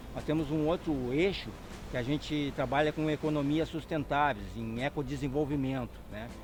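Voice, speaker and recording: This man's fairly high voice holds monotone, flat intonation at a moderate speed. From southern Brazil, Porto Alegre. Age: 50s. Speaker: agronomist, NGO founder. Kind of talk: interview.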